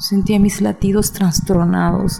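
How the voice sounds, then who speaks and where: A woman at medium pitch, very slow, with fairly even intonation, over noticeable background noise. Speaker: narrator. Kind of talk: ghost story telling. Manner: hushed, suspenseful, slow and deliberate pacing; tense, dramatic, urgent in the fear moments.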